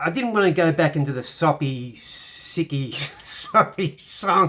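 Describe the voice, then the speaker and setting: This man has an Australian accent and a fairly high voice with lively intonation. He speaks at a very slow pace. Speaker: piano teacher. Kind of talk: tutorial.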